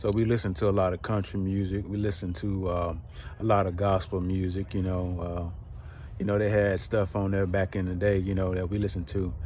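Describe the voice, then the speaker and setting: A man with a Georgia accent speaks at a moderate pace and a fairly low pitch with fairly even intonation. The sound is dry with no echo, over light background noise. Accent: Southern US, Georgia. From US South, rural south Georgia. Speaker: online preacher / inspirational video host; online preacher, inspirational video host. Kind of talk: personal testimony; sermon-style monologue. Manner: repetitive, emphatic preaching cadence. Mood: calm, reflective. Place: open country. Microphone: phone near.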